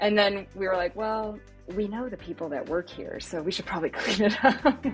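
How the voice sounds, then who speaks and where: Music plays in the background as a woman speaks at a moderate pace and medium pitch, with ordinary pitch variation. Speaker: former rock band singer. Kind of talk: interview answer. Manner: casual, humorous.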